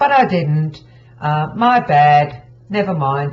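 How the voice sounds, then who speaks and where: The woman's voice is very deep and low in pitch and somewhat breathy. Her intonation is lively. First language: not English. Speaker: craft tutorial creator. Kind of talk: tutorial. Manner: casual, with many fillers. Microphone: poor quality audio.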